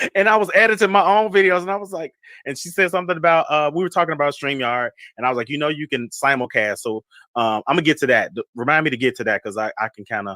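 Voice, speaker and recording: Talking at a very fast pace, a man with a fairly high pitch and a bright, sharp tone swings very widely in pitch, recorded with a dry, close sound and no echo. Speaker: fragrance vlogger and livestreamer. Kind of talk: casual livestream chat. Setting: livestream video call. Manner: animated.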